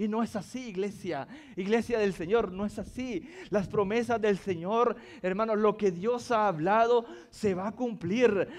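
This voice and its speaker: A man's high, animated voice at a fairly slow pace, with ordinary pitch variation. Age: 40s. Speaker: pastor. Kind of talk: sermon.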